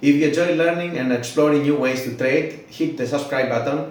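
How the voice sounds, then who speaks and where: A non-native accent at a moderate pace, with audible room echo and noticeable background noise. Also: man. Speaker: trading tools creator, YouTuber. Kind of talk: channel intro, scripted.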